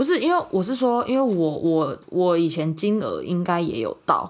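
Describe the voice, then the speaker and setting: With a plain, everyday voice, a woman speaks at a moderate pace in a medium pitch, her intonation lively. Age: 20s. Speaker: podcast co-host. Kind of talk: casual chat.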